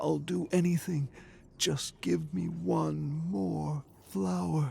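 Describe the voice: Slow and slightly mellow in tone, this put-on character voice carries vocal fry and fairly even intonation. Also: man, fairly high pitch for a man.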